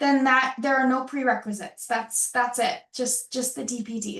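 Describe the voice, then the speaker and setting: With an American accent, a woman speaks at a fairly quick pace in a high pitch and fairly even intonation. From Rochester, New York. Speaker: program director presenting open house. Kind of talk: online open house Q&A.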